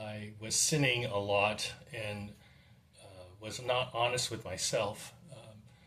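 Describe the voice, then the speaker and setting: A man talks very slowly at a fairly low pitch, his intonation fairly even and his loudness swinging widely. The room echo is audible. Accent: West Coast. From California, Monterey Peninsula. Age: 60s. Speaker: dentist. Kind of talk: testimony. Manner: halting.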